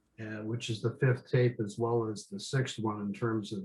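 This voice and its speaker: A man's somewhat breathy voice, medium in pitch, at a moderate pace with monotone, flat intonation. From Upper Peninsula of Michigan, US. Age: 60s. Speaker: workshop participant. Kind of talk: casual group chat introduction. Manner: hesitant, many fillers.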